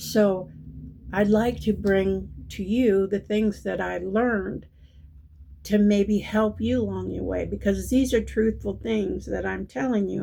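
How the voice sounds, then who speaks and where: A woman at a fairly slow pace on a very clean recording with a silent background. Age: 60s. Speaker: spiritual numerology channel host. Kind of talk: casual monologue, spiritual reading. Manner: halting, many fillers.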